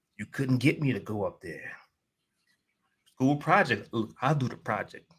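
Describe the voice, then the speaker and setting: In an American accent, a man with a medium pitch and vocal fry talks at a moderate pace with lively intonation. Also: long, frequent pauses, big swings in loudness. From New York City, Queens. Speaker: life coach and motivational speaker. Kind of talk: podcast interview. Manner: casual, many fillers.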